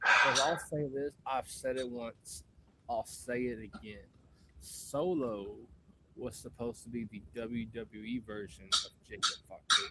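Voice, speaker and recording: With a bright, sharp tone, a man speaks at a fairly slow pace and ordinary pitch variation. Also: medium pitch for a man. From Tennessee, Nashville. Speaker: podcast host. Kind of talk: podcast interview.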